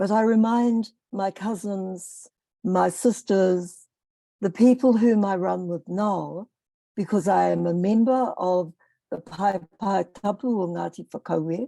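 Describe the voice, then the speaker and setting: A dark, mellow tone at a very slow pace, with ordinary pitch variation. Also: woman, medium pitch for a woman. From New Zealand. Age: 70s. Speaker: panelist, Māori academic elder. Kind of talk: panel discussion. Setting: video call.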